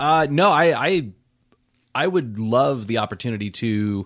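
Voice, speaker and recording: A plain, everyday voice from a man, fairly low and fairly slow, on a very clean recording with a silent background. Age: 30s. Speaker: guitarist and audio engineer. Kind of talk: casual chat.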